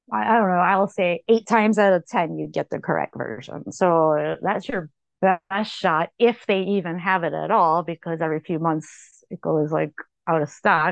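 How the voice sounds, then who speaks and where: A woman speaks at a fairly low pitch with vocal fry and ordinary pitch variation. Her pace is moderate. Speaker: author and researcher. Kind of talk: interview conversation. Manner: halting, many fillers and repetitions; informal, unpolished.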